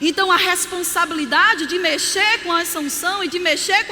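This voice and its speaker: A woman's raised, projected voice at an extremely high pitch, animated in tone, in a Paraíba accent, with audible room echo and noticeable background noise. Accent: Northeastern Brazilian (Paraíba). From Brazil, Campina Grande (Paraíba, Northeast). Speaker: pastor. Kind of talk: sermon.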